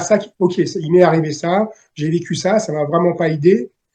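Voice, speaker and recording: A man's high-pitched voice with a dark, mellow tone and ordinary pitch variation, at a fairly slow pace. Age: 60s. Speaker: novelist. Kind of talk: interview. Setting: video call. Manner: halting.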